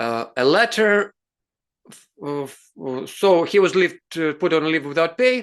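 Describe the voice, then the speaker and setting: In a Russian accent, a man speaks at a high pitch in a bright, sharp tone, with very wide pitch swings. His pace is fairly slow, and the background is quiet. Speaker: advocacy show host. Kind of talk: interview discussion. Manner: halting.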